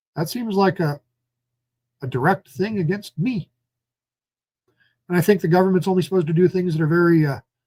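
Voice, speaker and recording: Dark, mellow tone at a fairly quick pace, long, frequent pauses, ordinary pitch variation, dry, close sound with no echo. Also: man, high pitch for a man. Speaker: citizen journalist and political candidate. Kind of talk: live stream commentary. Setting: at home. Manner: animated.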